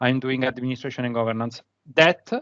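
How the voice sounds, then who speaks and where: The speaker is a man. He has an Italian accent. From Italy. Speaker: conference speaker, BI manager. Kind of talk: technical presentation. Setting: remote video session from office. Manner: halting, many fillers.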